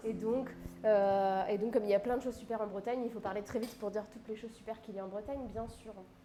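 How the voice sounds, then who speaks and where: Over noticeable background noise, a woman speaks at a very fast pace with a fairly high pitch, monotone, flat intonation and big swings in loudness. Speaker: livestream cooking host. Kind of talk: casual live stream chat. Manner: hesitant with many fillers.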